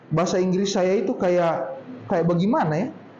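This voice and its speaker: Against noticeable background noise and audible room echo, a man speaks in a high pitch. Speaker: speaker at a public speaking workshop. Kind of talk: workshop talk. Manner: casual, conversational.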